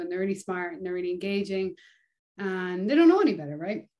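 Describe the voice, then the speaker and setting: A woman is speaking. She has an Irish accent. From Ireland. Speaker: touring bass player; podcast guest. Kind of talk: casual interview chat. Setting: video call. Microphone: video call.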